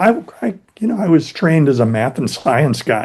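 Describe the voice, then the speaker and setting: This man has a dark, mellow tone. He speaks with an American accent. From US East Coast, Philadelphia-born. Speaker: YouTube English teacher. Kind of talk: casual interview conversation.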